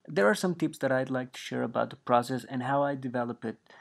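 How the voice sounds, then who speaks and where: A man talks at a fairly quick pace with a Spanish accent and medium pitch. The recording is very clean, with a silent background. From Mexico. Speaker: 3D artist and instructor. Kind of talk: tutorial. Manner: hesitant, with frequent fillers.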